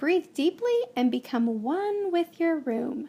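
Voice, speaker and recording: A put-on character voice moves at a fairly slow pace through very wide pitch swings. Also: woman, high pitch for a woman. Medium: read story.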